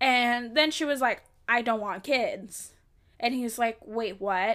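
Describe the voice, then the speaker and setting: A woman at a fairly high pitch with a bright, sharp tone and ordinary pitch variation. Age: 20s. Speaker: podcast host. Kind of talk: casual solo chat. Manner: casual, conversational, candid.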